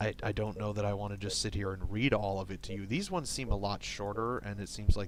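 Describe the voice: Simply plain reading aloud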